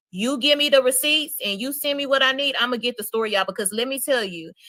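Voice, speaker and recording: A woman with a Louisiana accent speaks at a very fast pace in a high voice. Her tone is animated and her intonation lively. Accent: US Southern, Louisiana. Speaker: streamer, gossip content creator. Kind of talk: live stream chat.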